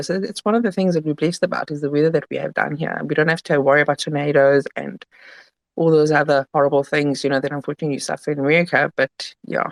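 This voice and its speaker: A woman talks very fast in a very deep, low pitch with fairly even intonation. The sound is dry and close, with no echo. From Italy. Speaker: crypto token founder. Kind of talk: casual interview.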